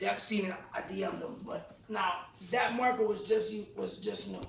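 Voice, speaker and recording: Amid audible room echo and noticeable background noise, a man talks in an animated tone. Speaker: podcast host and graffiti artist. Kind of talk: casual chat. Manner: loud.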